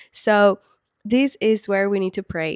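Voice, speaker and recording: A woman with a Spanish accent comes through on a very clean recording with a silent background, the sound dry and close with no echo. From Peru. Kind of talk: faith talk to camera. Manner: casual with fillers.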